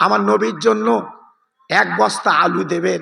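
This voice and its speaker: A man's voice with very wide pitch swings. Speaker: Islamic preacher. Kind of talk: sermon. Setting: religious gathering with audience. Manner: loud.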